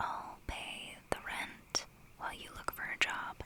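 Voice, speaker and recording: There is noticeable noise in the background while a woman whispers. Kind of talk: casual ASMR-style life update talk to camera. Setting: small closet used for audio. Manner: quiet, soft-spoken, candid.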